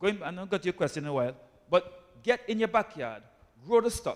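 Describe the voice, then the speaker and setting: With very wide pitch swings, a man talks at a fairly quick pace. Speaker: doctor. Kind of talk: health talk to church audience. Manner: animated.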